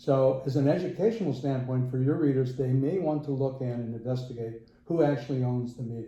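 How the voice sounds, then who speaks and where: A man with a medium pitch speaks at a fairly quick pace in a dark, mellow tone. His voice is somewhat breathy, and the room echo is audible. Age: 70s. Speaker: interviewee, working technical manager. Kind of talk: casual interview.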